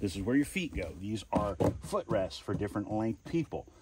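Against loud background noise, a man speaks at a moderate pace in a dry sound with no echo. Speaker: kayak reviewer. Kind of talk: product review walkthrough. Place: garden. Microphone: phone near.

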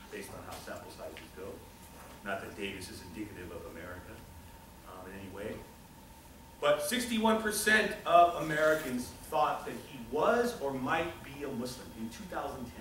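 In a recording with audible room echo and light background noise, a man speaks with long, frequent pauses and big swings in loudness. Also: moderate pace. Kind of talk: lecture. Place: classroom. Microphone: camera far.

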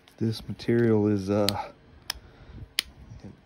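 Noticeable background noise surrounds a man as he talks. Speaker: flintknapper. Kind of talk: casual talk to camera, craft demonstration. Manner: soft-spoken. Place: workshop. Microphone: phone near.

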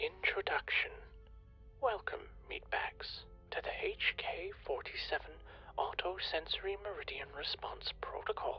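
A robotic, menacing put-on character voice in a whisper, fairly slow with long, frequent pauses, over clear music in the background. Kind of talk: calm ASMR parody. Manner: deadpan, robotic, announces each sentence type; dryly menacing, mock-polite.

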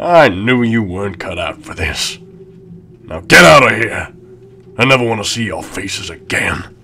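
A man does a raspy, put-on character voice at medium pitch. He keeps a moderate pace but leaves long, frequent pauses. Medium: cartoon. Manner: gruff, tough-talking, dramatic; triumphant and mocking after winning.

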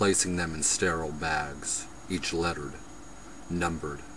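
A man speaks in a very deep, low pitch at a fairly slow pace, his intonation monotone and flat. The sound is dry with no echo, and noticeable background noise is present. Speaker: poet reading own poems. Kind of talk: poetry reading, performed poem. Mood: intense, brooding. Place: home room. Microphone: webcam.

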